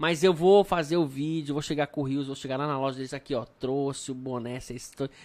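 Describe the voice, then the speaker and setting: Recorded very cleanly against a silent background, a man with an unremarkable speaking voice and a fairly high pitch talks at a fairly quick pace with fairly even intonation. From Brasília, Brazil. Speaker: podcast host. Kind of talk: casual chat. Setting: studio, live stream.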